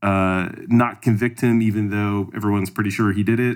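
With fairly even intonation, a man talks in an unremarkable speaking voice. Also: very clean recording, silent background. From Canada. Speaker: podcast co-host. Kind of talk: casual political discussion.

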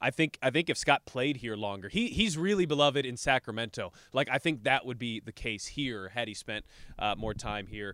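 A man with an American accent and a bright, sharp tone at medium pitch, lively intonation, moderate pace and hardly any pauses, on a very clean recording with a silent background and a dry, close sound with no echo. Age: 30s. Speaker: basketball podcast host. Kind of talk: casual chat. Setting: studio.

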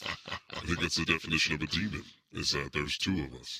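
A man's put-on character voice, very deep and low, at a fairly quick pace.

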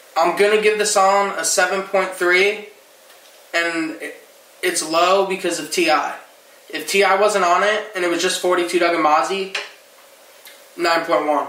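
Amid noticeable background noise, a man with an American accent and a high pitch uses a raised, projected voice at a very slow pace, with fairly even intonation and long, frequent pauses. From New Jersey. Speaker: podcast host. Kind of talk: casual chat about music.

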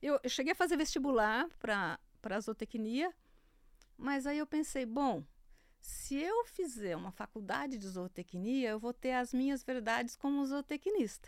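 A woman's high-pitched voice with lively intonation at a fairly slow pace, the sound dry and close with no echo. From interior of São Paulo state, Brazil. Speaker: agricultural journalist. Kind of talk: interview conversation.

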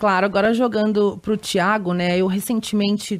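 On a very clean recording with a silent background, a woman speaks in a normal speaking voice. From Rio de Janeiro, Brazil. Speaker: journalist and podcast co-host. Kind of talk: podcast interview.

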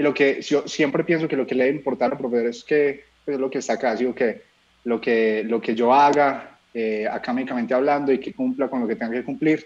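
Speaking in a plain, everyday voice, a man with fairly high pitch and ordinary pitch variation moves at a fairly quick pace. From Colombia, Medellín. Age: 20s. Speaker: singer-songwriter. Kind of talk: interview.

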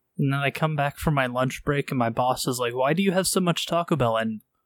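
This is an unremarkable speaking voice, a man's, at a fairly high pitch with ordinary pitch variation. He talks at a fairly quick pace in a dry, close sound with no echo. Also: very even loudness. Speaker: podcast co-host. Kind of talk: casual chat, live podcast.

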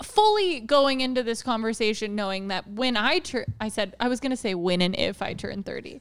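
With hardly any pauses, a woman speaks at a moderate pace and fairly high pitch with ordinary pitch variation, over noticeable background noise. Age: 20s. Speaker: podcast co-host. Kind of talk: casual chat. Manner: animated.

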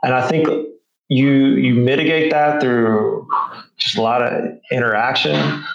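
Speaking in a Southern US accent, a man holds a medium pitch and very even loudness. His pace is fairly slow, with long, frequent pauses. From rural Arkansas. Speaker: Marine Corps veteran. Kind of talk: casual chat.

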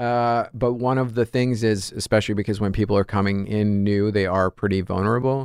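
A man with an American accent talks at a fairly quick pace with hardly any pauses, a fairly low pitch, fairly even intonation and very even loudness in a plain, everyday voice. The sound is dry and close with no echo, over a quiet background. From New York. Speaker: comedian. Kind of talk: casual chat.

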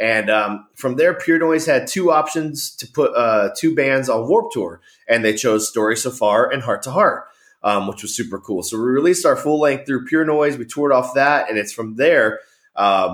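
This man speaks with an American accent at a moderate pace. His medium pitch carries lively intonation. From California central coast. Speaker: professional wrestler and rock singer. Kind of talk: casual chat. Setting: remote recording. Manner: animated.

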